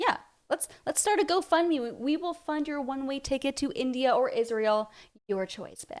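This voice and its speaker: Her voice sits high for a woman. The intonation rises and falls in a lively way. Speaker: reaction video commentator. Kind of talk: reaction commentary. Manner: fast; sarcastic.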